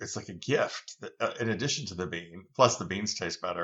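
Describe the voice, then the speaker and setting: A normal speaking voice is heard from a man. He talks at a moderate pace with ordinary pitch variation. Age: 60s. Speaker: founder of an heirloom bean company. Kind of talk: podcast interview.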